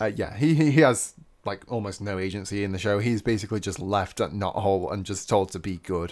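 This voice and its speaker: Recorded very cleanly against a silent background, a man talks fairly quickly with a fairly low pitch and ordinary pitch variation. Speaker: podcast co-host. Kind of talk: casual chat.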